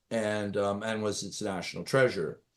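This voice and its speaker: A man talks with a Canadian accent against a quiet background. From rural Canada. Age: 60s. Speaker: executive and former business lawyer. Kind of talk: interview conversation. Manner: hesitant, many fillers and repetitions.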